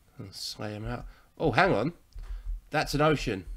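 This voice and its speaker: The man's pitch rises and falls in an ordinary way as he speaks. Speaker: gameplay commentator. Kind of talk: casual let's-play commentary. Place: home room.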